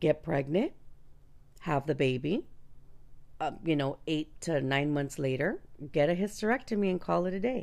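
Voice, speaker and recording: A woman with a very deep, low voice speaks in an animated tone, leaving long, frequent pauses. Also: lively intonation, moderate pace. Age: 40s. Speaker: podcast host. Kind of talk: casual chat. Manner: animated, informal.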